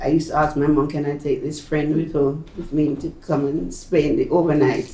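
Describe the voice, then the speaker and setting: A Jamaican accent at a moderate pace, amid noticeable background noise. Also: woman. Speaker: retired nurse. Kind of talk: oral history interview answer. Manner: emotional.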